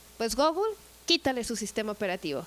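A woman is speaking. She has a Mexican accent. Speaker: tourism manager. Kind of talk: casual chat.

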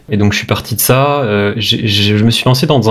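Moderate pace, fairly low pitch and ordinary pitch variation from a man, with noticeable background noise. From Brittany, France (Brest). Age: 30s. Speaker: web developer. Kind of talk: casual interview. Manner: hesitant, many repetitions.

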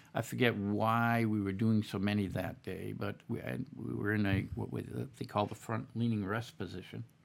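A man with an American accent speaks at a moderate pace. His pitch is fairly low, with ordinary variation. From Boston. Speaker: army veteran. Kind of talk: interview. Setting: studio.

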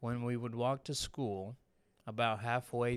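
A man speaks at a medium pitch in a monotone, flat intonation, captured in a very clean recording with a silent background. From Mexico. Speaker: podcast co-host. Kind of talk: casual chat.

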